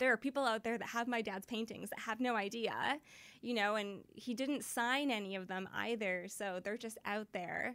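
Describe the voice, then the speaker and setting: An ordinary speaking voice, a woman with a Canadian accent, fairly high in pitch, at a moderate pace with fairly even intonation. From western Canada, Surrey near Vancouver. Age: 30s. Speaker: vintage clothing shop founder. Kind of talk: interview.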